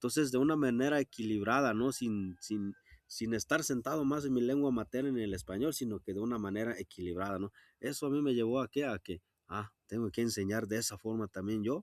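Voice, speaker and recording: A fairly quick delivery in a western Mexican accent, with ordinary pitch variation and a dry, close, echo-free sound on a very clean recording with a silent background. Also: man, medium pitch for a man. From Jalisco sierra, Mexico (Wixárika community). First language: Wixárika (speaking Spanish). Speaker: rural teacher. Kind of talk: interview. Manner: halting, many fillers.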